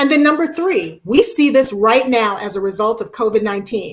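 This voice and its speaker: A woman with a fairly high pitch and lively intonation speaks in a normal speaking voice. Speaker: education speaker. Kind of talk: webinar presentation.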